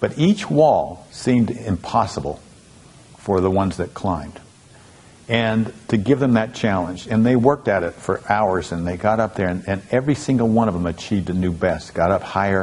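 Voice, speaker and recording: A plain, everyday voice, moderate in pace, its pitch varying in an ordinary way. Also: man, fairly low pitch for a man. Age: 60s. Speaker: motivational speaker. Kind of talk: storytelling talk.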